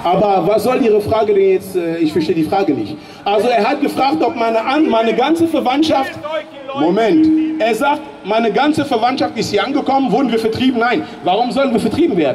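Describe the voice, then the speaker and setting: An extremely high-pitched man talks at a fairly quick pace in an animated tone, with lively intonation and very even loudness, over noticeable background noise. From Germany. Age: 40s. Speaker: political speaker; speaker. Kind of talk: public speech. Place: street. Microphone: handheld.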